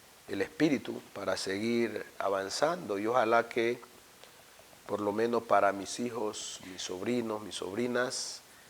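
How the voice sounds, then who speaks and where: Over noticeable background noise, a man speaks fairly slowly at a medium pitch with fairly even intonation. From Ecuador, Esmeraldas province (Afro-Ecuadorian). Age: 50s. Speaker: university rector. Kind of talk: interview. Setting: office. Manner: reflective, some stammering.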